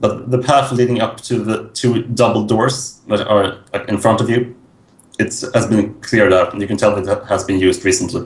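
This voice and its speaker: Medium in pitch, a man talks at a moderate pace. He has an unremarkable speaking voice. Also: fairly even intonation. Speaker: tabletop game master. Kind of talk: actual play scene narration.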